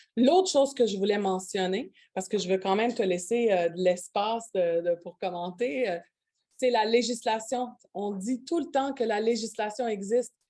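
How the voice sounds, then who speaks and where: A woman speaks at a moderate pace with ordinary pitch variation. Her fairly high voice has a dark, mellow tone. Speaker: union organizer. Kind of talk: conference panel discussion. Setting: conference with interpreters. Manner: halting.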